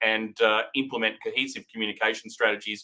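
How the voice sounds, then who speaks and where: In an Australian accent, a man speaks at a fairly quick pace with a bright, sharp tone and ordinary pitch variation. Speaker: recruitment company director hosting a live update. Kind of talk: live-streamed market update. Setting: live stream. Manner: hesitant, many fillers.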